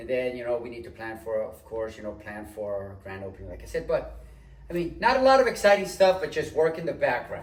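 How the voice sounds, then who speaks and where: This man talks at a fairly quick pace. His loudness swings widely, and there is noticeable background noise. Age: 60s. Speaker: studio co-owner, retired air conditioning tradesman. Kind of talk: casual chat. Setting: studio.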